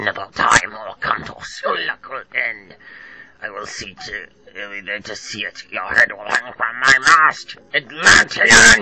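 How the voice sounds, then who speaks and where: Using a put-on character voice, a man speaks at a fairly slow pace. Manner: menacing.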